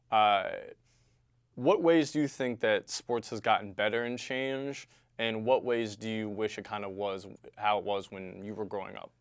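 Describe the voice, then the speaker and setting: A man with an unremarkable speaking voice talks at a moderate pace in a fairly low pitch with ordinary pitch variation. His loudness swings widely, and the recording is very clean with a silent background. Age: young. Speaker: sports channel host. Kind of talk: casual chat.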